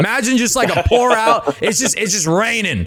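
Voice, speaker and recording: A man with an American accent speaks in an animated tone, his pitch swinging very widely, over noticeable background noise. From US Northeast. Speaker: podcast host. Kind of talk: casual chat.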